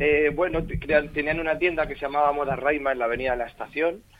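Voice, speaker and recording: Over noticeable background noise, a man speaks with fairly high pitch and fairly even intonation. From Spain, Torre Pacheco (Murcia region). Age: young. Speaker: actor. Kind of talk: radio interview.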